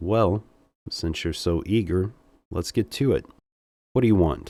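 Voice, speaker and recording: In a put-on character voice, a man speaks at a moderate pace, husky and raspy with a fairly low pitch, on a very clean recording with a silent background. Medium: read story. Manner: smooth, seductive.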